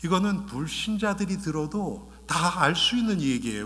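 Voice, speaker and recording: A man's pitch swings very widely as audible echo fills the room around him. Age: 60s. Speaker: pastor. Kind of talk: sermon. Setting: church. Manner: bilingual, switching Korean and English.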